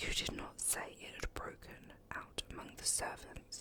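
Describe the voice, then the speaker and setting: Whispering comes at a fairly slow pace. Noticeable background noise is present. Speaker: ASMR reader. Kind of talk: audiobook reading.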